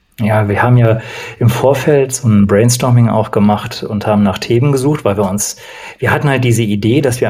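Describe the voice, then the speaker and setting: Using a normal speaking voice, a man talks at medium pitch and a moderate pace, his pitch varying in an ordinary way. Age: 40s. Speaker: coach, former opera singer. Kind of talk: casual chat.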